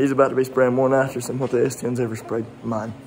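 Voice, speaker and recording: Noticeable background noise and audible room echo surround a man speaking at medium pitch. His delivery is fairly quick, with monotone, flat intonation. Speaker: car enthusiast doing truck work. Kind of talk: casual garage tutorial vlog. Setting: garage workshop.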